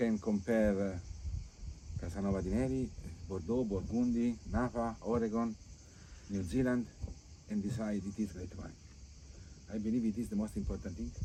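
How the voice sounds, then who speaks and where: The speaker has an Italian accent and a dark, mellow tone, moving at a moderate pace with long, frequent pauses. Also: man, fairly low pitch for a man, ordinary pitch variation. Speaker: wine estate owner. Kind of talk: casual interview. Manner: halting.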